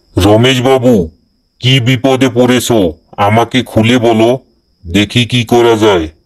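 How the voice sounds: Doing a cartoonish character voice, a man speaks at a very slow pace with a medium pitch, fairly even intonation and very even loudness.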